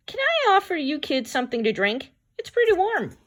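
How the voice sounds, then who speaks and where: The speaker uses a put-on, squeaky character voice with a gentle tone. The pitch swings very widely at a fairly quick pace. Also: woman, extremely high pitch for a woman. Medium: read story. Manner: gentle, polite.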